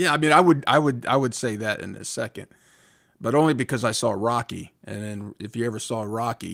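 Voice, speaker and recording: In an American accent, a man with an ordinary speaking voice speaks at a fairly quick pace and medium pitch, with ordinary pitch variation and big swings in loudness, on a very clean recording with a silent background. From United States. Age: 50s. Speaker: crypto channel host. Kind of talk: interview. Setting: live stream.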